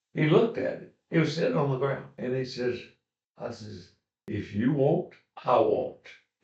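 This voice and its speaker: A somewhat breathy man with a fairly high pitch, lively intonation, big swings in loudness and a moderate pace. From Brownsville. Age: 80s+. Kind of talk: interview answer.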